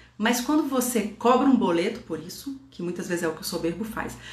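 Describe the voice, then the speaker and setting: A woman's fairly high voice with lively intonation, noticeable background noise and audible room echo. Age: 40s. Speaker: Enneagram teacher and mentor. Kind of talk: online class / lecture. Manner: casual, conversational with filler tags.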